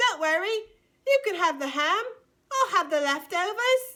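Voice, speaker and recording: A woman puts on a squeaky character voice with a British accent, extremely high in pitch. Her pitch swings very widely as she talks at a moderate pace. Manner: self-effacing, long-suffering.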